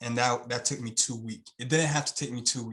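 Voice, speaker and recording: With a Haitian accent, a man talks at a very fast pace in a medium pitch. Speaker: YouTube channel owner. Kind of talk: interview.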